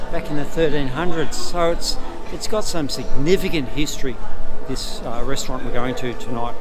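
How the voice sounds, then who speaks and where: Someone talks at a moderate pace while music plays clearly in the background. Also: man. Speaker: travel vlogger. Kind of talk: casual vlog chat. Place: street. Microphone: phone near.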